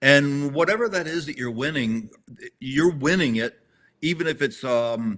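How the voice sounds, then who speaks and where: At a moderate pace, a man speaks with lively intonation and a fairly high pitch. His tone is bright and sharp. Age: 60s. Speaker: tactical games competitor. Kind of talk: casual chat. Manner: halting, repeats words.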